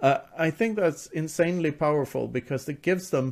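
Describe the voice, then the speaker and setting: This man has an ordinary speaking voice. He talks at a moderate pace with ordinary pitch variation. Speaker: author. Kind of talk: casual interview.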